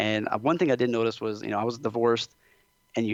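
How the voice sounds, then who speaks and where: Speaking very fast, a man with a Louisiana accent uses a medium pitch. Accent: Southern US (Louisiana). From South Louisiana, USA. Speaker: chiropractor. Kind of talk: podcast interview answer. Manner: casual, chatty.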